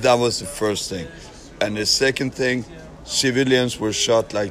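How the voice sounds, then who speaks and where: A man speaks at a medium pitch with a Norwegian accent. His pitch varies in an ordinary way, and there is noticeable background noise. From Norway. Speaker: foreign volunteer fighter. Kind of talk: street interview. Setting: outdoors at a train station. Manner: halting.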